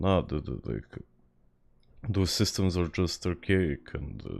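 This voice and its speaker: This man speaks in a Serbian accent at a fairly slow pace, with a very deep, low pitch. The recording is very clean, with a silent background. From Serbia, Belgrade. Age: 20s. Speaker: video game streamer. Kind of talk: casual gaming livestream chat. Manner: halting, frequent repetitions.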